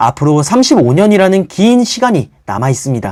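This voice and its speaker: Very wide pitch swings from a man with a high voice. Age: 20s. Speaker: personal finance youtuber, office worker. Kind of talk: scripted narration. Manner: formal.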